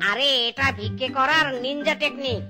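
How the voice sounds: A woman does a cartoonish character voice, high-pitched, bright and sharp, with ordinary pitch variation. She talks at a slow pace over faint background music.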